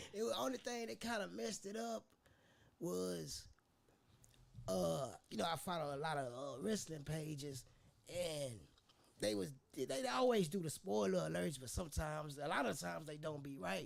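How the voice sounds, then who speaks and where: A man speaks at a moderate pace in a fairly high voice with very wide pitch swings. Long pauses come often. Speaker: podcast co-host. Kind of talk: casual chat.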